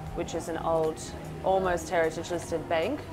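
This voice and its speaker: Clear music plays behind a woman who speaks at a moderate pace. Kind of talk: interview answer. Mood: relaxed, warm. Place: cafe.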